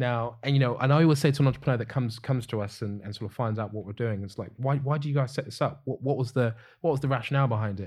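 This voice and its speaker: A man with a British accent talks at a very fast pace with hardly any pauses, his medium-pitched, somewhat breathy voice showing ordinary pitch variation on a very clean recording with a silent background. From UK. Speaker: business founder. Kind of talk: podcast interview.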